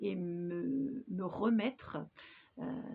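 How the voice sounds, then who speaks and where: A woman speaks with vocal fry. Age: 60s. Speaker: hypnosis practitioner. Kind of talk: personal testimony to camera. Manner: hesitant, many filler sounds.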